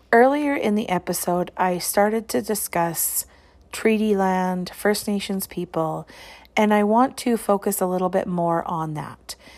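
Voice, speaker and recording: In a Canadian Prairie accent, a woman speaks at a fairly slow pace with medium pitch and ordinary pitch variation. The recording is very clean, the background silent. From Saskatchewan, Canada (small towns). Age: 30s. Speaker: education podcaster. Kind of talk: personal reflective monologue.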